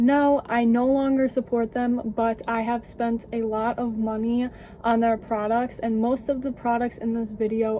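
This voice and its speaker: The voice is quiet and fairly slow, with monotone, flat intonation. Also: woman. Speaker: beauty youtuber. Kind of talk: casual vlog talk. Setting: home basement.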